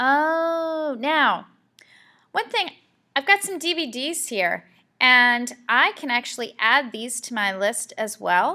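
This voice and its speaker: On a very clean recording with a silent background, a woman with a bright, sharp tone and raised, projected voice speaks very slowly at a high pitch, her pitch swinging very widely. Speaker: school librarian. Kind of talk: tutorial.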